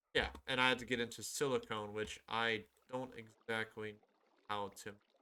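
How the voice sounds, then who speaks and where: A man at medium pitch, monotone and flat in intonation, at a moderate pace. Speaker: gaming YouTuber. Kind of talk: gameplay commentary. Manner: halting.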